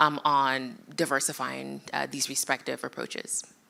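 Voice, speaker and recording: A bright, sharp tone with vocal fry, in an American accent. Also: woman. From United States. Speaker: AI policy expert at an international organization. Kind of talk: conference panel discussion. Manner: many fillers and self-corrections.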